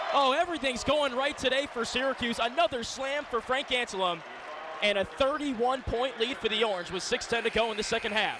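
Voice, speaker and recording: A man with an extremely high pitch and ordinary pitch variation speaks at a fairly quick pace in a raised, projected voice over noticeable background noise. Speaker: radio play-by-play sports broadcaster. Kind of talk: radio sports play-by-play commentary. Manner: fast-paced, excited, energetic live action calling.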